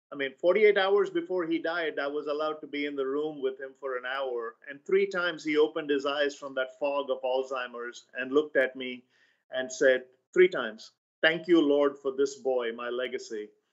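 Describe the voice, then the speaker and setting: A man speaks at a moderate pace in an Indian accent, with ordinary pitch variation. The background is quiet. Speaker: author and sales trainer; sales trainer. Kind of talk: interview. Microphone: webcam.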